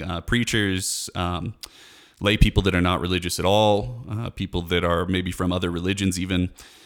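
A man's very deep, low voice with ordinary pitch variation at a fairly quick pace, in a very clean recording with a silent background. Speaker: podcaster. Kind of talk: scripted-style solo podcast intro, casual monologue. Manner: hesitant, filler words.

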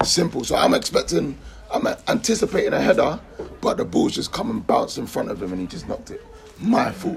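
Noticeable background noise fills the recording. Through it, a man talks fairly quickly. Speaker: podcast host. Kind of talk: casual banter, football podcast. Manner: animated, joking.

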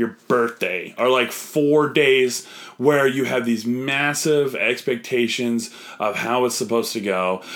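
A man with an unremarkable speaking voice talks fairly slowly at a medium pitch with ordinary pitch variation. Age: 30s. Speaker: comedian. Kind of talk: casual debate.

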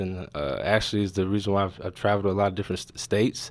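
Very fast speech comes from a man with an American accent and a fairly low pitch. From North Carolina. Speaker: video producer. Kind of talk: interview.

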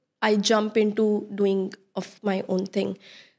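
A woman with an Indian accent. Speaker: interior designer. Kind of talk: casual interview chat.

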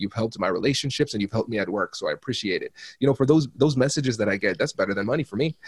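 Speaking very fast with an American accent, a man sounds somewhat breathy, with ordinary pitch variation and a dry, close sound with no echo. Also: medium pitch for a man. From small-town Ohio, US Midwest, Caribbean family. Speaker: negotiation expert and law professor. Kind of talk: interview.

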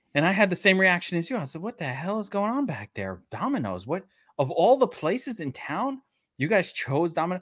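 High-pitched man with a Brooklyn accent, very wide pitch swings and a fairly quick pace, on a very clean recording with a silent background. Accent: New York (Brooklyn). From Brooklyn, New York. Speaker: sports betting podcast co-host. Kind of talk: casual chat. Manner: animated.

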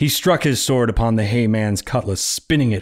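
With ordinary pitch variation, a natural reading voice is heard.

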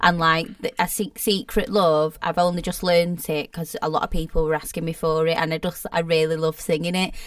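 A woman with an unremarkable speaking voice talks at a fairly quick pace, her fairly low pitch held in fairly even intonation. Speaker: singer and entertainer, self-employed. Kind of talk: casual chat.

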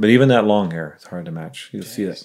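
A man talking at a very fast pace. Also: very clean recording, silent background. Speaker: taxidermist. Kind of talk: casual chat.

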